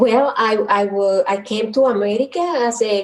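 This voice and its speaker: A woman speaks with a Dominican accent at a fairly slow pace. Her fairly high pitch varies in an ordinary way. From Dominican Republic, south near Haiti border. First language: Spanish. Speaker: psychologist and guidance counselor. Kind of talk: casual interview.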